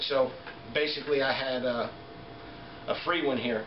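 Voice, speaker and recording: There is audible room echo as a man talks at a fairly slow pace with ordinary pitch variation over light background noise. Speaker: product reviewer. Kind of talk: casual product review and tutorial. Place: home room. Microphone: camera far.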